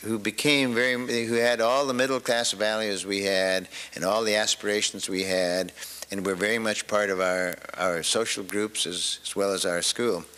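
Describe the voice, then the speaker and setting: A General American accent at a moderate pace, with fairly even intonation and noticeable background noise. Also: man, fairly low pitch for a man. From US West Coast, Los Angeles. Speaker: government official speaker. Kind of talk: public speech. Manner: halting.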